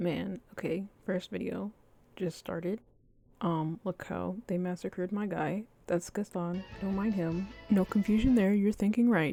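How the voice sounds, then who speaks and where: A soft-spoken woman at medium pitch, fairly slow, with fairly even intonation and music in the background. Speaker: Sims 4 builder. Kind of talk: casual gameplay commentary.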